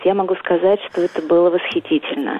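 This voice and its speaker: There is noticeable background noise. A woman speaks over it with fairly even intonation. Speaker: caller. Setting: phone call.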